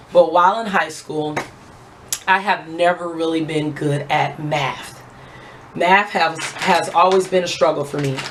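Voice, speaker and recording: A woman's fairly low voice at a fairly slow pace with fairly even intonation, along with audible room echo and noticeable background noise. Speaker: beauty vlogger. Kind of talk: casual chat.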